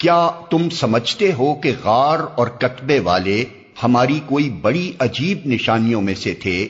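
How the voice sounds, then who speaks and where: A man speaks at a medium pitch with lively intonation. His voice is somewhat breathy. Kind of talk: scripture translation reading.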